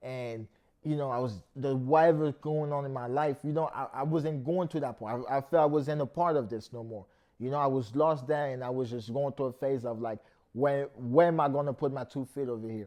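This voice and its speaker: The voice has a dark, mellow tone and fairly even intonation, moving at a fairly quick pace against a quiet background. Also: man, fairly high pitch for a man. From France, Paris. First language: French. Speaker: rapper and painter. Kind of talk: interview.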